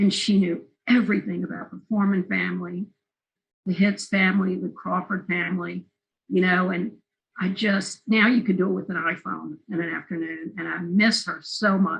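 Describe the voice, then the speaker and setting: A woman speaks with a Southern accent. Her pace is moderate. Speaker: film interviewer and documentary maker. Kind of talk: oral history interview.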